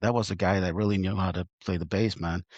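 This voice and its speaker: This man speaks with a Norwegian accent. His pace is fairly quick. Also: dry, close sound with no echo. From Norway. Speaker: musician. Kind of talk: casual chat.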